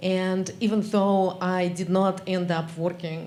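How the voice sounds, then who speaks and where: In a Russian accent, a woman speaks at a medium pitch. Her intonation is monotone and flat, and there is audible room echo. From Russia (former Soviet Union). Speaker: geography academic. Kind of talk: audience remarks at memorial session.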